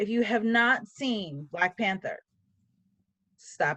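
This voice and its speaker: Here a woman is speaking. Her pace is very slow. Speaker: writing podcast co-host and novelist. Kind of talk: casual chat.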